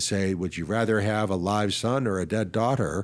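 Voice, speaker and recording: A man with an American accent and a normal speaking voice, fairly low in pitch, with ordinary pitch variation. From Ohio, US. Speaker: physician and psychologist, author. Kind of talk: interview.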